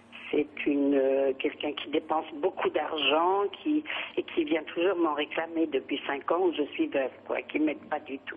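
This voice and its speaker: Noticeable background noise behind a woman's fairly slow delivery. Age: 70s. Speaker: caller. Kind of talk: phone-in consultation. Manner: halting.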